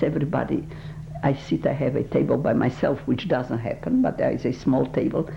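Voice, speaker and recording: Noticeable background noise is present. Over it, the woman talks fairly quickly. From Poland. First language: Polish. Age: 80s+. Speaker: Holocaust survivor. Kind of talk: oral history interview. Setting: recorded interview. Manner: halting.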